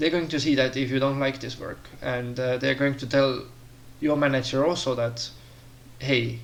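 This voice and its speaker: A man with a non-native accent speaks at a medium pitch and a moderate pace, in a flat monotone. Long, frequent pauses break up his speech, and room echo is audible. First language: not English. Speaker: career advice vlogger. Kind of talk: casual monologue tutorial. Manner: hesitant, many fillers.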